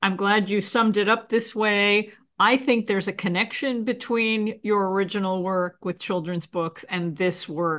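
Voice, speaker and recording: In an American accent, a woman talks at a moderate pace and medium pitch with ordinary pitch variation against a quiet background. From New York. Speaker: podcast host. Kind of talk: interview.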